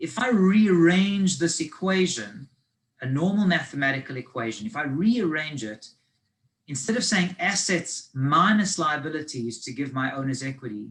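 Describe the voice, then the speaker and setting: Here a man speaks with a South African accent and a fairly high pitch. His intonation is lively, and his pace is moderate. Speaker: finance advisor. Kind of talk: lecture. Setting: video call.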